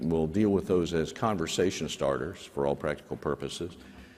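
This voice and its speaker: Against noticeable background noise, a man talks with a very deep, low pitch and ordinary pitch variation. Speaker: government aviation official. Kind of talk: town hall opening remarks. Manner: hesitant, many fillers.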